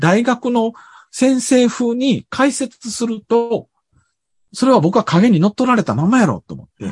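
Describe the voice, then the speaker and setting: In a dry, close recording with no echo and a quiet background, a man talks fairly slowly at an extremely high pitch. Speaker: university professor and author. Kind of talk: casual conversational interview.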